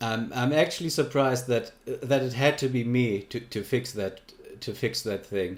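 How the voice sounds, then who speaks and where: On a very clean recording with a silent background, a man with a German accent talks at a moderate pace and medium pitch with ordinary pitch variation. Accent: German accent, noticeable. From Germany. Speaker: livestreamer. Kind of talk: casual livestream chat. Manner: halting, many fillers and repeats.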